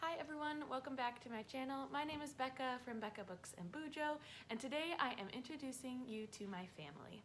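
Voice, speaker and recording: A woman speaks with an American accent at a high pitch. Noticeable background noise runs under her voice. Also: ordinary pitch variation, fairly quick pace. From North Dakota, Fargo. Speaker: vlogger. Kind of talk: casual chat.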